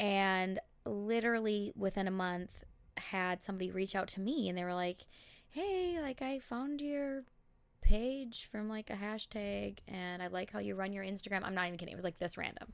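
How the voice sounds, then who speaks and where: A woman with an American accent uses a normal speaking voice at a medium pitch and moderate pace. Her pitch varies in an ordinary way against a quiet background. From Minnesota, Elk River. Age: 20s. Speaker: instagram brand account manager. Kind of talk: casual chat.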